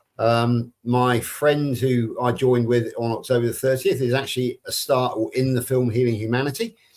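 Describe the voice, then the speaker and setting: Speaking with a West Country accent, a man keeps a monotone, flat intonation and very even loudness, with hardly any pauses. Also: medium pitch for a man, moderate pace. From Somerset, England. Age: 60s. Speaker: carnivore community ambassador. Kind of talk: personal introduction on live stream.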